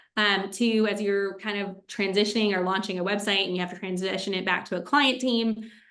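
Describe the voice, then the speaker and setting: Audible room echo colors the medium-pitched voice of a woman. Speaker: agency consultant and AI tools presenter. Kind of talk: webinar presentation. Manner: many filler ums.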